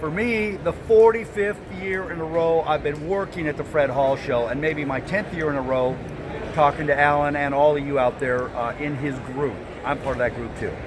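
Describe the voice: A man speaks at a moderate pace with few pauses, fairly high pitch, and fairly even intonation over clear background noise.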